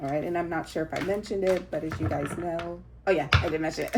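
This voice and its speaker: Noticeable background noise sits under the recording. A woman talks at a fairly quick pace. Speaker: tarot reader. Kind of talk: tarot reading. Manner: halting, many fillers.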